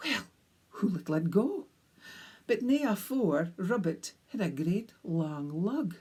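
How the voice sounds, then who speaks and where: A woman speaks with a North East Scottish accent. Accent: North East Scottish (Doric). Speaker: storyteller. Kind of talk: storytelling. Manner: animated.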